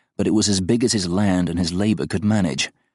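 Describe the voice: The text is read aloud plainly. Its intonation remains fairly even.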